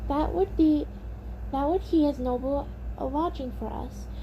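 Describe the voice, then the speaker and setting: Against clear background noise, a woman does a put-on character voice at a moderate pace. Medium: read story.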